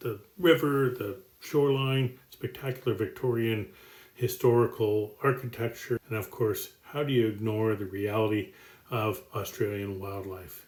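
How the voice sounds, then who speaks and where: At a moderate pace, a man with a Canadian accent speaks at medium pitch, somewhat breathy, with ordinary pitch variation. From Canada, Toronto area. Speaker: business executive. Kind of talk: self-introduction presentation. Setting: outdoors on home deck.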